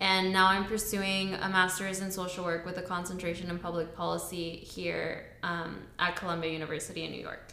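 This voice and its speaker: A woman talks in a fairly low pitch with flat, monotone intonation. Noticeable background noise runs under her voice. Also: hardly any pauses. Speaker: podcast co-host. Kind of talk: casual chat.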